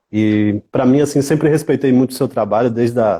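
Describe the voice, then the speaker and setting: This man has a dark, mellow tone at a medium pitch and a Bahian accent. He talks at a fairly quick pace, and the sound is dry and close with no echo. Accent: Bahian Brazilian Portuguese. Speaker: music event producer and researcher. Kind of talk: interview.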